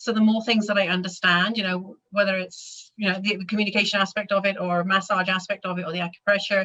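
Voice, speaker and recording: A woman talks at a very fast pace with hardly any pauses, with a slight British accent. Her intonation stays monotone and flat. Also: medium pitch for a woman. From Britain, raised abroad as RAF child. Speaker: animal massage instructor. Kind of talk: interview.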